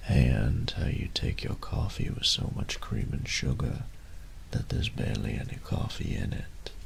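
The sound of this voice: A man whispering in a put-on character voice, with vocal fry, at a fairly slow pace.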